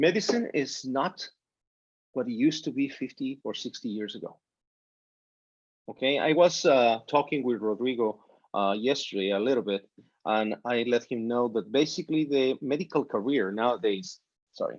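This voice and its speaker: In a Spanish accent, a man speaks at a moderate pace and medium pitch with ordinary pitch variation and long, frequent pauses. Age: 50s. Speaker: physician. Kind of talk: informal talk to students. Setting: video call. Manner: animated.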